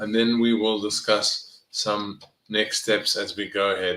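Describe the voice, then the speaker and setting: At a very slow pace, a man with a South African accent speaks with a fairly low pitch, a bright, sharp tone and fairly even intonation. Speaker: neuroscience professor and health coach. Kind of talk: live online presentation. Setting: live video session. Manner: conversational.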